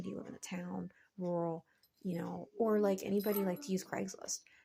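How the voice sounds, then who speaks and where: Somewhat breathy, the voice moves through ordinary pitch variation. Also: woman. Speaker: vlogger and online reseller. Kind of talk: casual vlog talk to viewers. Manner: hesitant, many fillers.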